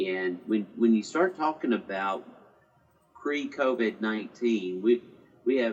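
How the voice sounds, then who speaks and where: A man at a medium pitch, with lively intonation and a fairly slow pace. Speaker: tourism organization president, guest. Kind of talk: interview chat. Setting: video call. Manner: hesitant, filler-heavy.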